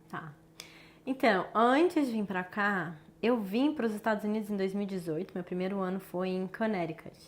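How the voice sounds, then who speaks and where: Someone with a southern Minas Gerais accent talks at a moderate pace. The recording is very clean with a silent background. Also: woman, medium pitch for a woman, ordinary pitch variation. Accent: southern Minas Gerais accent with caipira R. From Brazil, southern Minas Gerais (Brasópolis). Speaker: actress. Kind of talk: casual interview.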